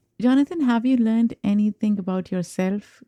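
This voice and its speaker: A dark, mellow voice with a Pakistani accent speaks at a moderate pace. The recording is very clean with a silent background, and the sound is dry and close with no echo. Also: woman. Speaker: podcast host. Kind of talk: interview conversation.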